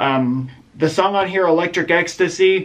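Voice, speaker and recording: A man is talking while noticeable noise fills the background. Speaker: music reviewer, YouTuber. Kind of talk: casual monologue, album countdown. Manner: halting, filler-heavy.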